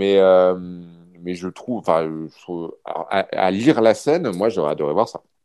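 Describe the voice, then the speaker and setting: A man's very deep, low voice with ordinary pitch variation, big swings in loudness, a fairly slow pace and long, frequent pauses. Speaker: film journalist. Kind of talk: casual chat.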